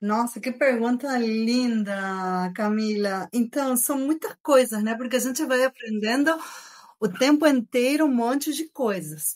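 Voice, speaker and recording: Ordinary pitch variation and a fairly slow pace from a woman's high voice. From Argentina. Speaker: engineering professor. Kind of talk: podcast interview.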